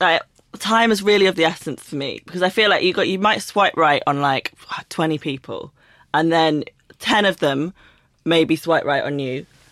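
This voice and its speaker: On a very clean recording with a silent background, a woman with a London accent speaks at a fairly low pitch with ordinary pitch variation. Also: moderate pace. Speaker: author. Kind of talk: casual chat.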